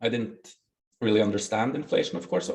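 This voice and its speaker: Speaking at a medium pitch, a man talks with a Norwegian accent. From Norway. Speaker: bitcoin project founder. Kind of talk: interview. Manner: halting.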